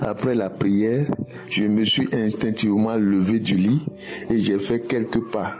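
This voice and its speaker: With music in the background, a man with a fairly low pitch speaks very slowly, his loudness very even and his intonation fairly even. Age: 70s. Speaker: testimony giver. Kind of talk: testimony.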